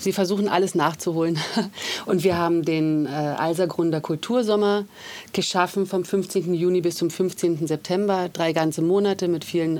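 A woman's fairly low voice, an ordinary speaking voice, with very even loudness, a moderate pace and fairly even intonation. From Germany, Berlin. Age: 40s. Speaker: artist and district politician. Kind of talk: casual interview. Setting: studio.

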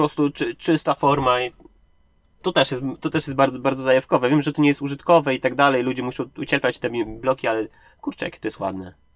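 Recorded with a dry, close sound and no echo, a man talks at a very fast pace in a medium-pitched voice with fairly even intonation. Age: 30s. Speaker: indie game developer. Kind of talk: interview. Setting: sitting in a parked car. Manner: halting.

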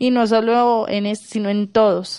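A woman speaks at a fairly slow pace with a fairly high pitch. She has a normal speaking voice. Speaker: journalist. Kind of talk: news reading.

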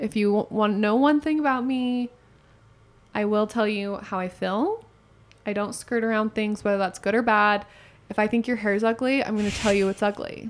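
A woman speaks with an unremarkable speaking voice. Her pitch is fairly high and her intonation fairly even. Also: moderate pace. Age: 20s. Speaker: podcast co-host, hairdresser. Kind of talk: casual chat.

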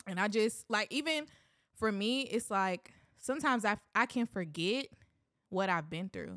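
A woman with an ordinary speaking voice talks at a moderate pace. Her intonation is lively. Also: medium pitch for a woman. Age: 20s. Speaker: minister and musician. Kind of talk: casual chat; testimony.

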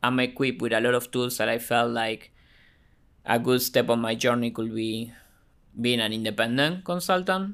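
On a very clean recording with a silent background, a man speaks with an Argentine accent. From Argentina. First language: Spanish. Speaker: marketing automation business owner. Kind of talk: casual interview chat.

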